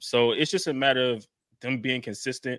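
Fairly even in intonation, a man talks with an American accent in an unremarkable speaking voice. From Jacksonville, Florida. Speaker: sports podcaster. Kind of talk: casual sports talk.

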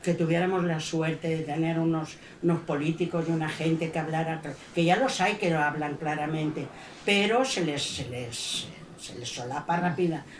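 Noticeable background noise and audible room echo around a woman speaking at a moderate pace. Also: fairly low pitch for a woman, ordinary pitch variation. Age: 70s. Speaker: audience member. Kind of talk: audience testimony. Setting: bookshop event with audience.

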